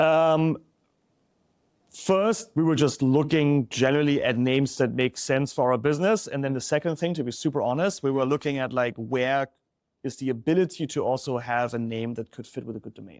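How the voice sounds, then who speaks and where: On a very clean recording with a silent background, a man with a German accent speaks at a fairly quick pace and a fairly high pitch. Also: ordinary pitch variation. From Germany. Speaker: startup founder. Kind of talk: interview.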